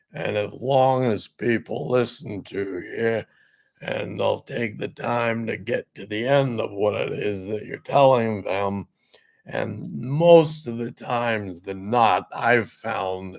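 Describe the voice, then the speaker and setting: Using a raspy, put-on character voice, a man speaks fairly slowly at medium pitch. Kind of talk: instructional voice demonstration.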